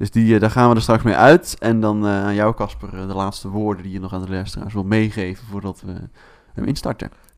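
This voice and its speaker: A man with an unremarkable speaking voice talks at a moderate pace and a fairly low pitch, with fairly even intonation. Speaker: podcast co-host. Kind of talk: casual chat.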